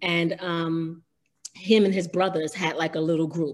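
This woman has a plain, everyday voice, pitched fairly low, with an American accent, fairly even intonation and a moderate pace. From New York City, Harlem. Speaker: R&B singer, former group member. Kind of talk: casual interview about career.

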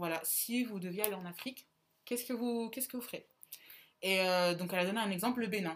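Delivery runs at a very fast pace. Its pitch varies in an ordinary way. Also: woman. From central France, small town. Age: 20s. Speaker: podcast co-host, student. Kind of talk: casual chat.

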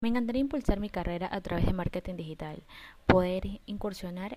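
A woman talks at a fairly quick pace with a medium pitch, a dark, mellow tone and ordinary pitch variation. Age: 20s. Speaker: makeup artist. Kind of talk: personal pitch monologue.

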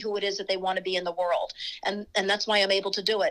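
A woman with an American accent at a very fast pace, fairly even intonation, on a very clean recording with a silent background. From US Virgin Islands (St. Croix). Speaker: running coach. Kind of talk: interview conversation.

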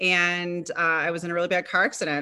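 A woman with an American accent, fairly low in pitch, with a bright, sharp tone and monotone, flat intonation against a quiet background. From western New York. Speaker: entrepreneur and motivational speaker. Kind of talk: interview.

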